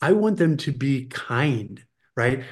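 A man's vocal fry at a fairly slow pace, with very wide pitch swings, in a very clean recording with a silent background. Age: 50s. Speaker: financial adviser and children's leadership educator. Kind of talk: casual chat.

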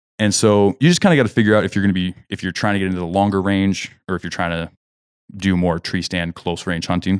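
In an American accent, a man talks very fast at a very deep, low pitch with fairly even intonation. The recording is very clean with a silent background, and the sound is dry and close with no echo. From Kansas, US Midwest. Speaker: hunting podcast host. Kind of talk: casual chat. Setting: studio. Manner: hesitant, many fillers.

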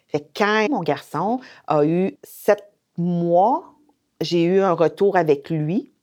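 A woman with a fairly low voice speaks with ordinary pitch variation. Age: 50s. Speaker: domestic violence shelter coordinator. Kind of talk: testimony.

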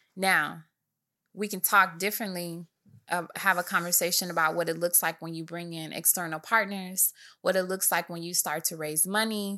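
A woman's fairly low, bright, sharp voice with an American accent, monotone and flat in intonation at a moderate pace, in a very clean recording with a silent background. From Michigan, US. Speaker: business CEO. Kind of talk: casual interview.

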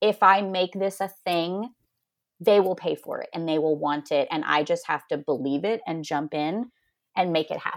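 With a normal speaking voice, a woman of fairly low pitch talks at a moderate pace with ordinary pitch variation. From northeastern Oklahoma. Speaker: photographer. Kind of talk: casual interview.

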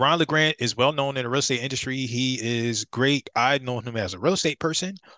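A man with an American accent talks at a fairly quick pace, his tone bright and sharp, his pitch medium with ordinary variation. The sound is dry and close with no echo, over a quiet background. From Philadelphia, Pennsylvania. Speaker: real estate investor and author. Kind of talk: podcast interview.

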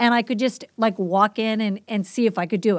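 In a very clean recording with a silent background, a woman with a Boston accent speaks at a fairly high pitch. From Boston, US Northeast. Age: 50s. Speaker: teacher and substitute, podcast guest. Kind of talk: casual interview conversation.

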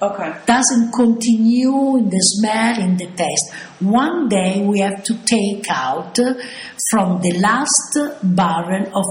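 A woman speaks in an Italian accent at a very slow pace, her pitch medium. Her intonation is lively, with noticeable background noise behind her. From Italy, Bologna. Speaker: balsamic vinegar producer. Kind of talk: interview.

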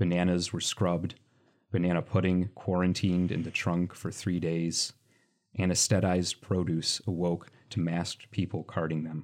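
A man with a Michigan accent speaks in a very deep, low voice at a moderate pace. His intonation is monotone and flat, and the recording is very clean with a silent background. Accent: general American, Michigan. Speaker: poet and journalist. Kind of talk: poem performed, read aloud in an expressive, wry, rhythmic cadence.

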